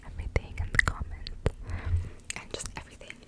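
A woman is speaking. She whispers. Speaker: ASMR creator. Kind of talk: ASMR whisper ramble. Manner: whispered. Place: home room. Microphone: studio mic.

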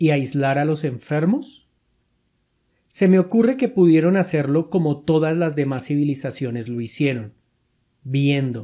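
Pitched fairly high, this man's voice has a dark, mellow tone. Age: 40s. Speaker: atheist YouTuber answering comments. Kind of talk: commentary reading and answering viewer comments.

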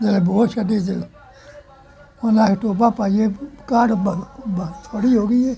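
A man's high-pitched voice with fairly even intonation over light background noise. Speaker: elderly villager telling a partition story. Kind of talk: interview answer, oral history. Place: farm. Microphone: lapel.

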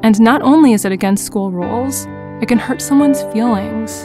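Music plays behind the speech. The woman keeps a moderate pace. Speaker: voice actor. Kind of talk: e-learning narration. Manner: friendly, gentle.

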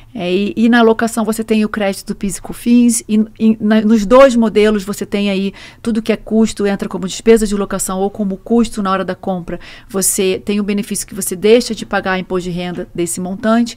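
In a Rio de Janeiro accent, a woman talks at a fairly quick pace with a medium pitch and fairly even intonation. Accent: Rio de Janeiro (carioca) accent, noticeable. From Brazil, Rio de Janeiro. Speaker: truck rental executive; guest. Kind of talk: podcast interview. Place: studio. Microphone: studio mic.

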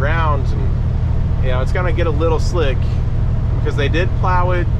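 Man talking at a moderate pace over loud background noise. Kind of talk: casual vlog chat. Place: car. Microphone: camera far.

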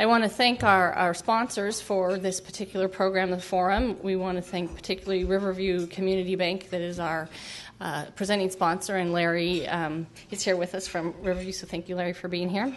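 Speaking at a fairly quick pace, a woman keeps a monotone, flat intonation. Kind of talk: event welcome speech. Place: hall. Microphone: podium.

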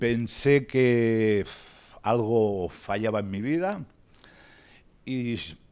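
A man is speaking with a dark, mellow tone. His pitch variation is ordinary. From Spain. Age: 50s. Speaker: patient speaker, ex-drug user and novelist. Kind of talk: talk to pharmacists, personal testimony. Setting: workshop with audience. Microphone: handheld.

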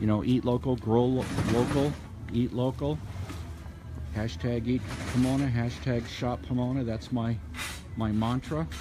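A man talks at a moderate pace with long, frequent pauses. Noticeable background noise runs underneath. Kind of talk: casual walking vlog commentary. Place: market. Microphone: phone near.

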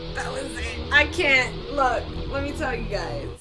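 A woman with clear music in the background. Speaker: gaming vlogger. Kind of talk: casual gaming commentary and outro.

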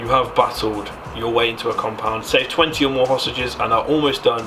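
Over music in the background, a man speaks at a fairly quick pace with fairly even intonation. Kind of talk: casual commentary reading quiz aloud. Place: home room. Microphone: studio mic.

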